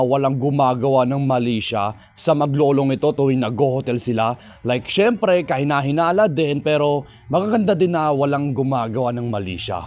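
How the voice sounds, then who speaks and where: A man's fairly high, plain, everyday voice with lively intonation at a moderate pace. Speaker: parody trailer narrator. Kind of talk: parody movie trailer narration.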